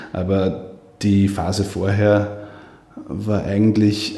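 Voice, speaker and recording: With an Upper Austrian accent, a man speaks at a fairly low pitch in monotone, flat intonation, with audible room echo and noticeable background noise. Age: 30s. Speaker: politician. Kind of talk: interview.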